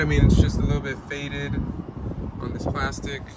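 Loud background noise fills the recording. The sound itself is dry, without any echo. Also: man. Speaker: car salesperson. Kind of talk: casual vehicle walkaround commentary. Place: street. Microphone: phone near.

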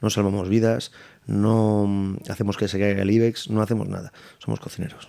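His voice is fairly low for a man, with a dark, mellow tone. The intonation is monotone and flat. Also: moderate pace, quiet background. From Madrid. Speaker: chef and restaurant owner; guest. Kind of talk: casual interview. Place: studio. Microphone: studio mic.

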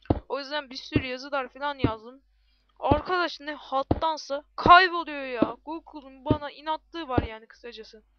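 A high-pitched woman with ordinary pitch variation, amid noticeable background noise. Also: big swings in loudness. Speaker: gaming YouTuber. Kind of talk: gameplay commentary. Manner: animated.

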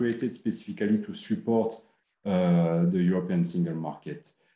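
Audible room echo and a quiet background frame a man whose fairly low pitch, dark, mellow tone and ordinary pitch variation carry his words. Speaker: standardization official. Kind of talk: panel discussion. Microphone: webcam.

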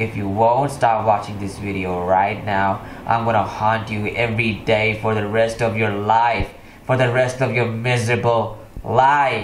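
Clear background noise sits under a put-on character voice. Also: man, medium pitch for a man, moderate pace. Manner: mock menacing, spooky threat; sarcastic, joking.

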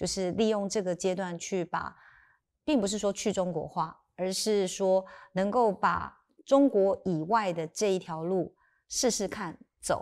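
A woman's fairly slow delivery with ordinary pitch variation. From Taiwan, Sanxia (New Taipei); Taiwan. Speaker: lawyer turned tech company chairwoman. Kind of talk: interview conversation. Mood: calm, thoughtful. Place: studio. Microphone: lapel.

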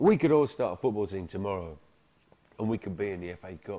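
With a British accent, a man talks at a fairly quick pace. His tone is dark and mellow. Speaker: film narrator. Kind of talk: documentary narration, casual monologue.

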